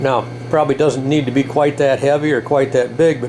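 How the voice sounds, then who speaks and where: A man speaks over noticeable background noise. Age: 70s. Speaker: motorcycle builder. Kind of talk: workshop tutorial. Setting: workshop. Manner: casual, with fillers and hesitations.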